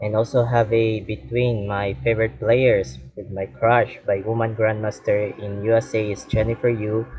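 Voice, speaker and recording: Over music in the background, a man with a fairly low voice speaks at a fairly slow pace with ordinary pitch variation. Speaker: chess commentator. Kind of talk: game analysis commentary. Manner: halting.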